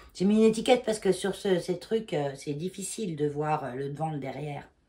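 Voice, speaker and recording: Her fairly low-pitched voice has a dark, mellow tone and lively intonation, and she talks at a fairly quick pace. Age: 50s. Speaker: knitting vlogger. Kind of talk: casual vlog talk. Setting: at home, in her bedroom. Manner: hesitant, many fillers.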